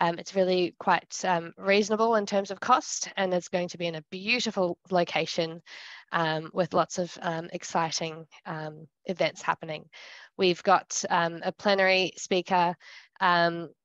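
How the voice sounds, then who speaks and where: A woman with an ordinary speaking voice, fairly low in pitch, at a fairly slow pace with fairly even intonation, in a dry sound with no echo and a quiet background. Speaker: seminar host. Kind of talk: announcements to online audience. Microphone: video call.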